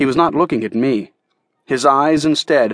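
Heard against a quiet background, a natural reading voice moves with ordinary pitch variation.

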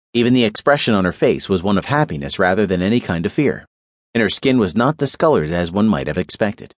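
Very fast and with very wide pitch swings, a man speaks with vocal fry in a dry, close sound with no echo and a quiet background. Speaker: audiobook narrator. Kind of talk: scripted audiobook narration of a crime thriller, dramatic. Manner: grave, measured, suspenseful storytelling.

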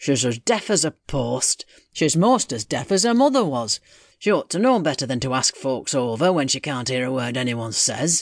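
A man's put-on character voice, rumbling at a medium pitch and a moderate pace over a quiet background. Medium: read story. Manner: grudging, grumbling.

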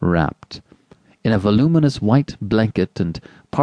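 Lively intonation in plain reading aloud, set against a quiet background

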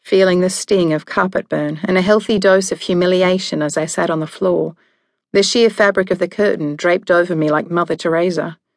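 At a moderate pace over a quiet background, a woman talks with an Australian accent in a fairly low pitch and fairly even intonation. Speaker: audiobook narrator. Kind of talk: scripted audiobook narration, first person. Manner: dramatic, wry and sassy, with sharp comic timing; shifts from hushed and numb to angry and flustered.

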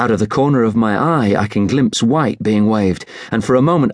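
Moving at a fairly quick pace, a man speaks with a British accent. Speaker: audiobook narrator. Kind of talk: dramatic first-person audiobook narration of a war novel. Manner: tense, vivid, urgent storytelling with hushed dread in the quieter moments.

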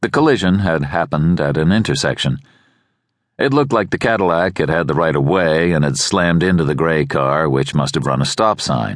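A very deep, low male voice with vocal fry, lively intonation and a moderate pace. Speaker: audiobook narrator. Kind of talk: tense thriller audiobook narration building dread. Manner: measured, suspenseful pacing with clipped short sentences; urgent, barked dialogue when voicing the anxious driver.

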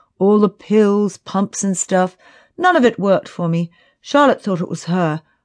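This is reading aloud in a natural voice with ordinary pitch variation. The background is quiet.

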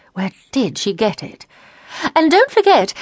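An animated woman's voice with vocal fry and very wide pitch swings, moderate in pace, dry and close with no echo. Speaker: audiobook narrator. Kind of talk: dramatic audiobook narration with character voices. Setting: studio.

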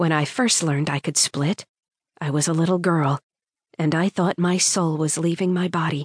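Speaking in a normal speaking voice, a woman with a fairly low pitch keeps a moderate pace, fairly even intonation and very even loudness, in a dry, close sound with no echo. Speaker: audiobook narrator. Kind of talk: dramatic first-person audiobook narration of urban fantasy.

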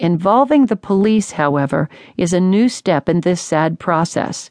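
This is an ordinary speaking voice. Its intonation is lively. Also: woman, dry, close sound with no echo. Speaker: audiobook narrator. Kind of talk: dramatic audiobook narration of a first-person story. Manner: grave, measured and tense, hushed with suspense.

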